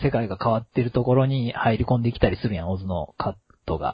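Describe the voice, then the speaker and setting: A man is speaking. His voice is somewhat breathy. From Kansai. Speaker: podcast host. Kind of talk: casual chat.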